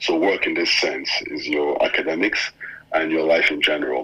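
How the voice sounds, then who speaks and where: A man talks at a moderate speed, with noticeable noise in the background. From Nigeria. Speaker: former scholarship student and journalist. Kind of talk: casual interview.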